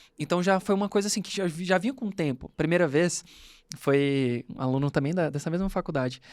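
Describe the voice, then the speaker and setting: A man talks at a fairly quick pace with lively intonation and a fairly high pitch. The recording is very clean, with a silent background. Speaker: podcast host, law professor and lawyer. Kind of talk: casual chat. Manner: fast.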